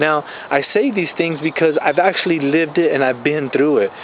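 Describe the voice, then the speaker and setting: Speaking at a fairly quick pace, a man with a fairly high pitch comes through over noticeable background noise. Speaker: life coach and network marketer. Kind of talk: motivational vlog talk, unscripted. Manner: fast; animated.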